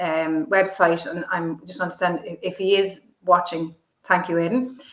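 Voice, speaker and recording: In an Irish accent, a woman talks at a moderate pace. Her pitch is fairly low, with ordinary pitch variation. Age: 50s. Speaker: entrepreneur and political commentator. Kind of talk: interview. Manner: articulate; halting.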